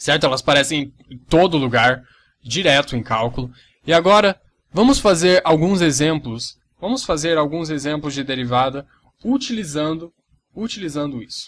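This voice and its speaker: A normal speaking voice at a moderate pace, with ordinary pitch variation and big swings in loudness. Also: man, fairly high pitch for a man. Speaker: math teacher. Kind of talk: tutorial.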